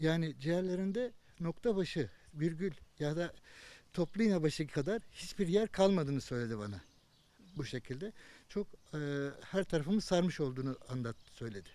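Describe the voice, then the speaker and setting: In a dark, mellow tone, a man talks with a fairly high pitch. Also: lively intonation, moderate pace. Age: 50s. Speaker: Covid-19 survivor. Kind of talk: interview answer.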